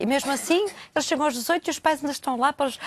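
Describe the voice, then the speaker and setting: A woman with a high pitch and ordinary pitch variation is heard in a dry, close sound with no echo. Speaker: therapist.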